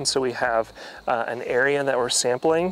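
A man talks with ordinary pitch variation in a dry sound with no echo, over light background noise. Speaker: forestry extension educator. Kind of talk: tutorial. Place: forest. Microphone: lapel.

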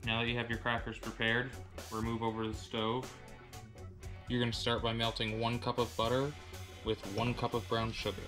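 The speech moves at a fairly quick pace. Clear music plays in the background. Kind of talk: tutorial. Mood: relaxed, friendly. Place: kitchen.

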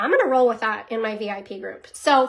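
Against a quiet background, a woman speaks at a fairly quick pace. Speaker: direct sales team leader. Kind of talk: casual vlog chat, coaching tips. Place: home room. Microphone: phone near.

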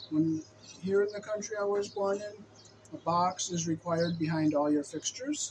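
A man with an American accent, high pitch, ordinary pitch variation, moderate pace and light background noise. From United States. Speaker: electrician. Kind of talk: tutorial. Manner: halting. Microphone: camera far.

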